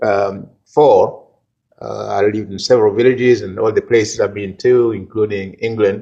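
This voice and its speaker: A man with a Congolese accent speaks at a moderate pace. His loudness swings a lot. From DR Congo. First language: Kikongo. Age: old. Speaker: retired professor. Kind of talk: interview. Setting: church. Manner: halting.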